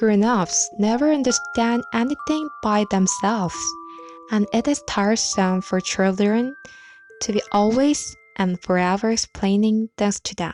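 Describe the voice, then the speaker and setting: Over music in the background, a woman speaks at a fairly high pitch with lively intonation. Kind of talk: ASMR bedtime book reading.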